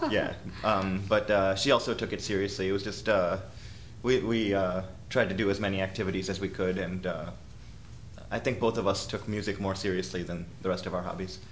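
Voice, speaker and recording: A man speaks with an American accent at a fairly low pitch and with fairly even intonation. Audible room echo surrounds his voice. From US, Rochester, New York. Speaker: orchestral violist. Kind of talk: interview. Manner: halting, many fillers.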